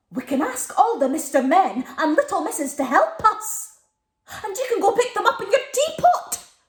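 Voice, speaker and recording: A woman performs a put-on character voice. Her pitch is extremely high and swings very widely. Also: moderate pace. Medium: read story.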